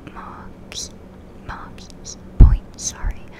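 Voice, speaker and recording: Very slow whispering from a woman amid noticeable background noise. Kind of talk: ASMR gameplay commentary. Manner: soft-spoken; slight lisp.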